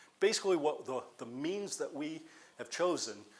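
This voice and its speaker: This man talks at a moderate speed, and the room echo is audible. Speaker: community college welding professor. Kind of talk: conference presentation.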